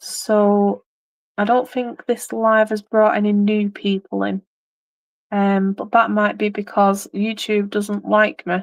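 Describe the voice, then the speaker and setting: In a dry, close recording with no echo and a quiet background, a woman speaks very slowly at a medium pitch with flat, monotone intonation. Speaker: craft live streamer. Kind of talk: casual chat. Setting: live stream.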